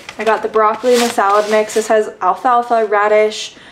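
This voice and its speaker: This woman speaks at a moderate pace while noticeable background noise runs behind her. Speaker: vlogger. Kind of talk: casual vlog chat. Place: home room. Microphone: camera far.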